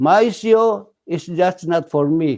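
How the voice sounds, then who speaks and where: A man speaks in a high pitch with a Filipino accent. His tone is dark and mellow, and his intonation is lively. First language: Tagalog. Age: 80s+. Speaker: radio host. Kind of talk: casual talk show monologue. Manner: halting.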